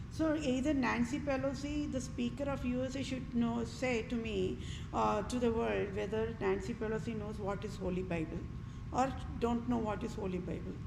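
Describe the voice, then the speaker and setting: At a moderate pace, a woman speaks over noticeable background noise with audible room echo. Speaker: vlogger. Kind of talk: political rant monologue.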